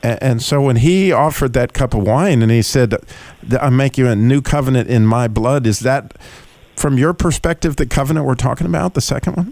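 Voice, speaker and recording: A man with an ordinary speaking voice talks at a medium pitch and a fairly quick pace, with very even loudness and ordinary pitch variation. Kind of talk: interview. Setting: radio studio. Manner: warm, laughs often.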